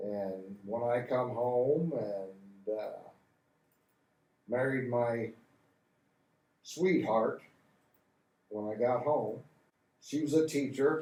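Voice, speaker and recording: Long, frequent pauses break up a man's very slow speech, which sits at a medium pitch with ordinary pitch variation. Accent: Midwestern American. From Hardin County, Ohio. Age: 70s. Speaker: Vietnam War veteran. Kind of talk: interview answer. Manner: casual, folksy.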